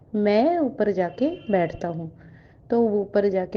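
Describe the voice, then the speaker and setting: A woman with a Bengali accent talks with lively intonation. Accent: Bengali-accented Hindi. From West Bengal, India (Kolkata). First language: Bengali (speaking Hindi). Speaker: devotee sharing a testimony. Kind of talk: testimony. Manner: halting, with fillers.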